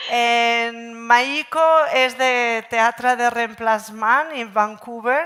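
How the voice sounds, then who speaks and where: A woman speaks with a Catalan accent. Her tone is bright and sharp. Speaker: panel moderator. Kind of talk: panel moderation. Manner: halting.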